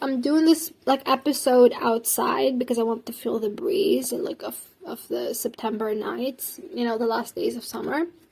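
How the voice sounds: A put-on character voice from a woman, high-pitched and raspy, at a moderate pace with hardly any pauses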